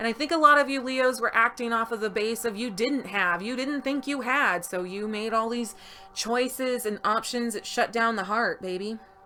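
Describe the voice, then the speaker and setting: A woman's fairly high voice at a moderate pace, with hardly any pauses, ordinary pitch variation, and music in the background. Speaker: tarot reader. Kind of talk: tarot reading. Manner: loud; animated.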